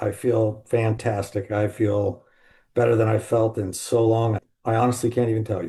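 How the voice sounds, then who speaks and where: A somewhat breathy man with an American accent, a dark, mellow tone, medium pitch and monotone, flat intonation, against a quiet background. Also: moderate pace. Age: 60s. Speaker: salesman in alcohol recovery. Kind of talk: podcast interview.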